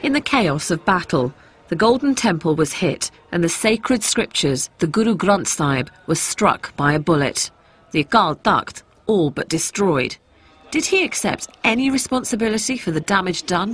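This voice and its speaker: A woman talks at a moderate pace and a medium pitch. Her somewhat breathy voice makes very wide pitch swings. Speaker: documentary presenter. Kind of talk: documentary narration and interview questions.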